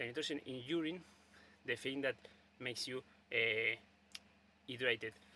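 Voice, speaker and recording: With a Spanish accent, a man speaks at a moderate pace in a medium pitch and a bright, sharp tone, leaving long, frequent pauses. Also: fairly even intonation. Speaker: video blogger. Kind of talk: casual monologue. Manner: halting, many fillers and repetitions.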